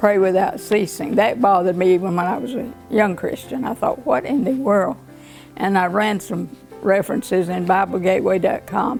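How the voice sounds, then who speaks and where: Over music in the background, a woman with a Southern US accent speaks at a medium pitch and a moderate pace. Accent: Southern American. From Griffin, Georgia. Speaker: retired teacher. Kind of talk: interview answer.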